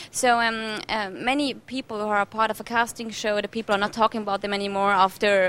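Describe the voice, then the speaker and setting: A woman is speaking. She has a German accent. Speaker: TV presenter. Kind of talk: TV interview. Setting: TV show location in Mallorca.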